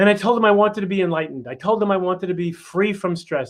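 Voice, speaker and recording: A man with a New York accent talks at a very fast pace. His pitch variation is ordinary. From New York City, Queens. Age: 60s. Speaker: chiropractor and family mentor. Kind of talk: workshop talk.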